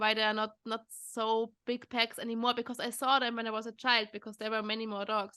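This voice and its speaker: A woman with a German accent, a fairly high pitch and a bright, sharp tone, at a moderate pace. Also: quiet background. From Austria. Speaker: podcast host, dog behaviour trainer. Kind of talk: casual interview chat. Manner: halting, many repetitions.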